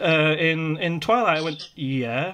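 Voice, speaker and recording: A high-pitched man with a Yorkshire accent. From Yorkshire, northern England. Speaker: podcast host. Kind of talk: casual interview. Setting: video call.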